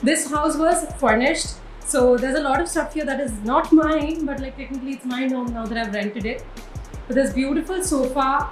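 Her voice high-pitched, a woman speaks at a moderate pace with ordinary pitch variation, with audible room echo and faint music in the background. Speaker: vlogger. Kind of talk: casual vlog chat. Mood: excited, cheerful. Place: home room. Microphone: phone near.

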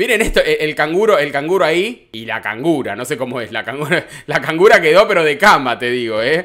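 Against a quiet background, a man talks in an animated tone at a fairly high pitch, with very wide pitch swings. He keeps a fairly quick pace with hardly any pauses. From Argentina. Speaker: entertainment news youtuber. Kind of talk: casual commentary on clips. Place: home room. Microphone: studio mic.

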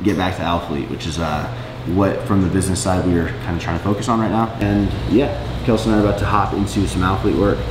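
Over music in the background, a man with a very deep, low pitch speaks at a fairly quick pace. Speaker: business owner vlogger. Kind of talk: casual vlog chat. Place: office. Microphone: camera far.

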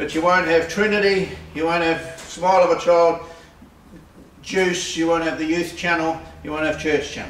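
Over light background noise and audible room echo, a man speaks at a high pitch for a man, fairly slowly, in a monotone, flat delivery. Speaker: presenter. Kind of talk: tutorial. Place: workshop. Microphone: camera far.

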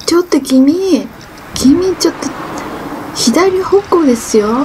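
Noticeable background noise sits behind a woman with a high voice. She speaks at a very slow pace with lively intonation. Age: 50s. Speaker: cyclist vlogger. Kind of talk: casual vlog narration while cycling. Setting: outdoors. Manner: out of breath, effortful. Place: bicycle. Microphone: camera far.

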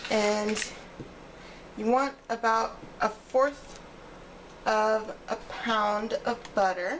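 Over light background noise, a woman speaks very slowly with fairly even intonation. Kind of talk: cooking tutorial. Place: kitchen.

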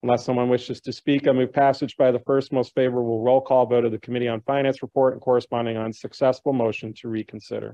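With an American accent, a man talks at a very fast pace in a monotone, flat intonation, with hardly any pauses, against a quiet background. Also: dry sound with no echo. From Chicago. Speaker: city council member. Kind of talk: formal council proceedings. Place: hall. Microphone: podium.

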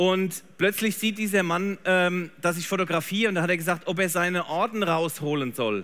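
Here a man speaks at a moderate pace with a high pitch. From Germany. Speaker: photographer; presenter. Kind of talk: live demo talk. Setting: trade fair stage with audience. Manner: animated. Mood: warm, enthusiastic storytelling. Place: stage.

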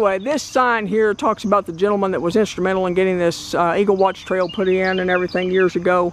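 The speech comes at a very fast pace over light background noise, with a dry sound and no echo. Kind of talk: casual vlog commentary. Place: open country. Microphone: phone near.

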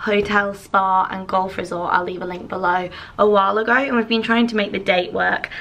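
The intonation stays monotone and flat. The speaker is a woman. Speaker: vlogger. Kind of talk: casual vlog chat. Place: home room. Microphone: phone near.

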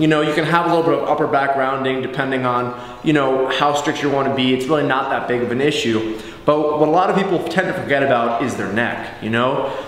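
Very fast speech from a man, fairly even in intonation, with audible room echo. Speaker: fitness coach. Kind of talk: tutorial. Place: gym.

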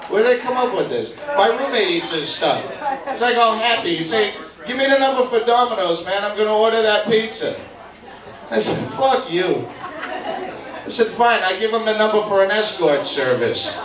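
A high-pitched man at a moderate pace, with ordinary pitch variation, long, frequent pauses and noticeable background noise. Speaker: stand-up comedian. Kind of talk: stand-up comedy routine. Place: bar.

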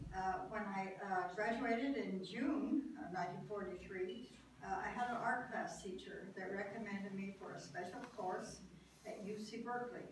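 Audible room echo and noticeable background noise surround a woman's voice. She talks at a moderate pace with ordinary pitch variation. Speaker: World War II shipyard draftsman, park docent. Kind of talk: oral history talk. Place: meeting room. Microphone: camera far.

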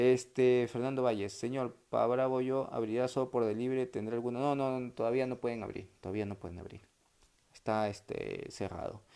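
A man's dark, mellow tone at a moderate pace, with fairly even intonation over a quiet background. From Peru. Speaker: sports commentator doing a live stream. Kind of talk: casual livestream chat reading viewer comments. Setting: home livestream. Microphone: earbuds.

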